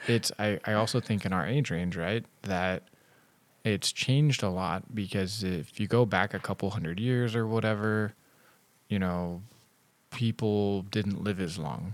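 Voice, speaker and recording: Recorded very cleanly against a silent background, a man with an unremarkable speaking voice talks at a fairly slow pace in a fairly low pitch with ordinary pitch variation. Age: 30s. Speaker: podcast host. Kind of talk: casual chat. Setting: in-person studio.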